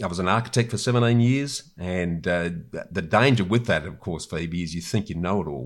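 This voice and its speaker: A man with an Australian accent talks at a moderate pace in a very deep, low pitch. His intonation is lively, and the recording is very clean with a silent background. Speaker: property investor and author. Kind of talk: interview conversation. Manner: halting, with repetitions.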